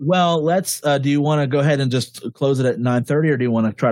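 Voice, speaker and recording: At a very fast pace, a man speaks with a medium pitch in a dry, close sound with no echo. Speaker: podcast host. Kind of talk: casual chat. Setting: video call.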